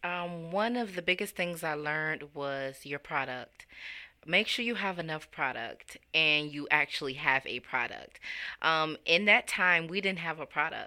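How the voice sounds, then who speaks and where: A woman's very deep, low voice with a bright, sharp tone and an American accent, fairly slow and with ordinary pitch variation, on a very clean recording with a silent background. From Chicago, South Side. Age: 20s. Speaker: nonprofit founder. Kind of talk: interview.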